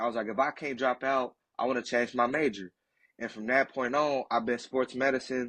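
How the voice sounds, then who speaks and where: In a quiet background, a man speaks at a moderate pace with medium pitch and fairly even intonation. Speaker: content creator and college student. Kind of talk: casual chat. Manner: loud; smooth, passionate delivery.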